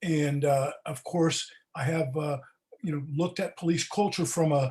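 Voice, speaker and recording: A man with a Californian accent speaks at a fairly high pitch. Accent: Californian American. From California (Palo Alto). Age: 70s. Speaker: retired public defender. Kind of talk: interview.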